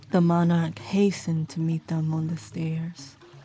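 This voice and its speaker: A woman speaks in a calm tone at a fairly slow pace. Noticeable background noise runs behind her. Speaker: sleep story narrator. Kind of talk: sleep story narration. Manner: slow, calm.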